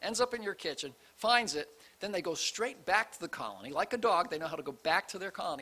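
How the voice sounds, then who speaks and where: A man speaks in a raised, projected voice at a fairly quick pace. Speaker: preacher. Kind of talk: sermon. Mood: light, amused. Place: church. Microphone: studio mic.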